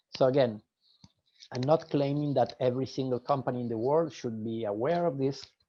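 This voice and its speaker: A man talks with a dark, mellow tone at a medium pitch. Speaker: business strategy webinar presenter. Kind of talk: lecture. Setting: video call. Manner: halting, many fillers and repetitions.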